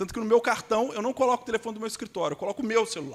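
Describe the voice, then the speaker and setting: A man speaks with a Minas Gerais accent. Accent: Minas Gerais (mineiro) Brazilian Portuguese. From Brazil, Belo Horizonte (Minas Gerais). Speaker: immigration lawyer. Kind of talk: conference panel talk.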